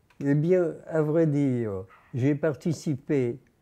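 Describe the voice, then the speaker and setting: In a quiet background, a man speaks very slowly with a dark, mellow tone and a fairly high pitch. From Nice, France. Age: 90s. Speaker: amateur poet. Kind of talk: interview answer. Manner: hesitant.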